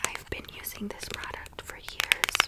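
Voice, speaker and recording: A woman is whispering at a moderate pace. Noticeable background noise sits behind her. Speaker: ASMR creator. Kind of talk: ASMR makeup get-ready-with-me talk to camera. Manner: whispered, soft-spoken.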